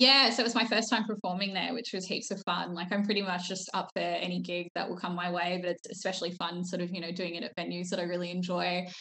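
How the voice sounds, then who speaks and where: A woman with an Australian accent talks at a very fast pace, hardly pausing, her medium pitch held in fairly even intonation. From Melbourne, Australia. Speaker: drag king performer. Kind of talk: casual interview chat. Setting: video call.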